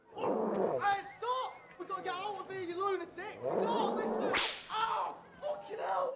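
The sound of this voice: Putting on a character voice, a man speaks at an extremely high pitch with a bright, sharp tone, vocal fry, ordinary pitch variation and a fairly slow pace, while faint background noise and faint crowd noise sit behind him.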